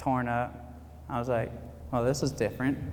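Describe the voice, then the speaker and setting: A man with an American accent at a medium pitch. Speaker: retired army veteran, motivational speaker. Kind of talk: motivational speech at graduation ceremony.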